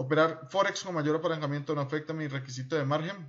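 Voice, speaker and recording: A man's fairly high, normal speaking voice at a fairly quick pace with fairly even intonation. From Colombia. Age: 30s. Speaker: trading instructor. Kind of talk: screen-recorded tutorial. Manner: informal, conversational.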